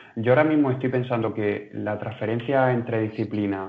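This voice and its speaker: An ordinary speaking voice from a man at medium pitch, moderate pace, and fairly even intonation. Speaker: movement student. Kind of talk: casual discussion. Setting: video call.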